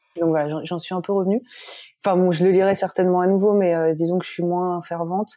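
Her intonation monotone and flat, a woman speaks fairly quickly at a medium pitch in a dark, mellow tone. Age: 30s. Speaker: novelist. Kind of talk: interview. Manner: hesitant, many fillers.

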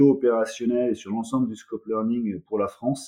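The man speaks at a medium pitch. He goes at a fairly slow pace with ordinary pitch variation. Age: 40s. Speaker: corporate learning director. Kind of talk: interview. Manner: halting, many repetitions and fillers.

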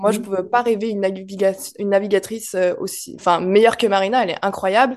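A woman with a plain, everyday voice, medium in pitch and fairly even in intonation. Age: 30s. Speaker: ferry steward and rally driver. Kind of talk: interview.

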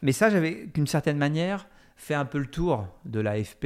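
The speech moves at a fairly slow pace with lively intonation. The recording is very clean, with a silent background. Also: man. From France, Fresnes (Paris suburbs). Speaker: documentary filmmaker. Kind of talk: interview. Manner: halting, many fillers and repetitions.

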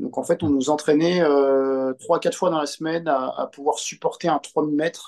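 Speaking at a moderate pace, a man with a fairly high voice keeps his intonation fairly even. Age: 30s. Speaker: navy sailor and amateur runner. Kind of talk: casual interview. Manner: halting, many hesitations.

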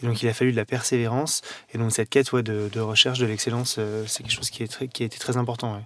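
A man talks very fast at a medium pitch. His intonation is monotone and flat, with noticeable background noise behind him. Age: 30s. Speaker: pastry chef. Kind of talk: interview. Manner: hesitant, with fillers.

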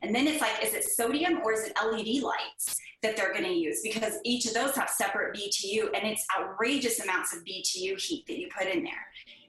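Over noticeable background noise, a woman with an American accent talks at a moderate pace with hardly any pauses. Her voice is fairly high, with lively intonation. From Northern California. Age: 40s. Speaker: HVAC business owner. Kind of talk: interview.

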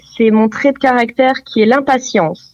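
With fairly even intonation, a woman talks at a high pitch. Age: 20s. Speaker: real estate agent. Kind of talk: interview.

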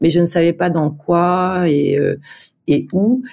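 A woman's dark, mellow voice sits at a fairly low pitch with ordinary pitch variation. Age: 40s. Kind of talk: casual interview. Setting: video call from Dubai office.

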